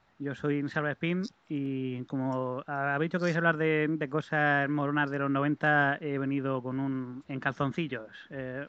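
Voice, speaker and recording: Against a quiet background, a man with a normal speaking voice talks at a fairly high pitch with fairly even intonation. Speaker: regular listener. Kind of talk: casual chat. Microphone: distant, muffled line.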